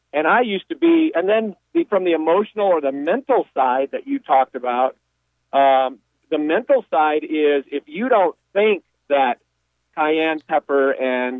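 With an ordinary speaking voice, a man talks at a fairly high pitch with lively intonation. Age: 60s. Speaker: radio caller. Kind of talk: phone-in call.

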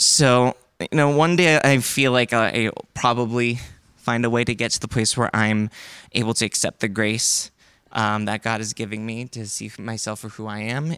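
A man with an American accent speaks at a moderate pace and medium pitch, with ordinary pitch variation and an unremarkable speaking voice. The recording is very clean, with a silent background. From China (Korean family, US-born). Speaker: congregation member sharing story. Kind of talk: testimony.

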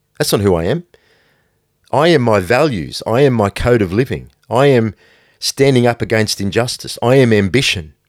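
Using a plain, everyday voice, a man speaks at a moderate pace and medium pitch with lively intonation and very even loudness, in a dry, close sound with no echo. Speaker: podcast host and brand founder. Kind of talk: pep talk; motivational monologue, solo podcast. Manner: intense, blunt, hard-driving motivational delivery; forceful, direct, no-nonsense.

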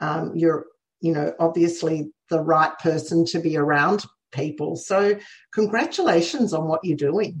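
In an Australian accent, a woman speaks at a fairly slow pace. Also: fairly low pitch for a woman, fairly even intonation. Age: 60s. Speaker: podcast host. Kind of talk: casual interview. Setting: video call.

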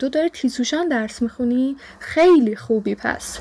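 Noticeable background noise sits behind a woman whose high pitch carries lively intonation. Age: young, 19. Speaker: student intern. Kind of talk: casual chat.

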